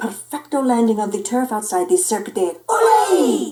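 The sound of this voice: This is an unforced reading voice. Nothing else is noted.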